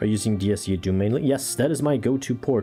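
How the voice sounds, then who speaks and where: Very fast speech with ordinary pitch variation runs over music in the background. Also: man. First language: Portuguese. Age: 40s. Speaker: gaming streamer. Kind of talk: casual live stream chat. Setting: live stream. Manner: halting.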